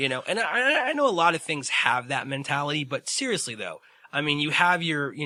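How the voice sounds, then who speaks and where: Bright and sharp in tone, a man's fairly high voice moves at a fairly quick pace. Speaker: podcast co-host. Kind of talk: casual chat. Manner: animated.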